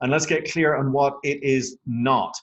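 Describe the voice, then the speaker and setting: An enthusiastic man with a fairly high pitch and an Irish accent. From Ireland. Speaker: network marketing presenter. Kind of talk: sales pitch. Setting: phone conference call.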